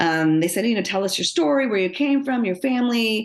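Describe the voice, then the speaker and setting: A woman speaks against a quiet background. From Los Angeles suburbs, US. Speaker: business executive and author. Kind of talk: interview.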